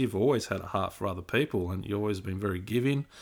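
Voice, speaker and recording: Recorded very cleanly against a silent background, a man with an Australian accent speaks at a fairly low pitch. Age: 40s. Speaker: podcast co-host, youth mentor. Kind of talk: casual chat.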